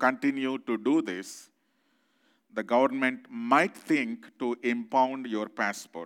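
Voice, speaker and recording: Over a silent background in a very clean recording, a man speaks very slowly at a medium pitch with ordinary pitch variation. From India. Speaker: visiting pastor. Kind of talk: sermon. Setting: church.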